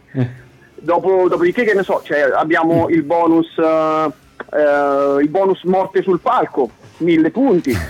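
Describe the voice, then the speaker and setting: A man's high-pitched voice at a very even loudness. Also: ordinary pitch variation, fairly slow pace. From Italy, Marche (Apennines, Amandola). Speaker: musician, game co-creator. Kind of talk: casual interview. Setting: phone call. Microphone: dropped phone line.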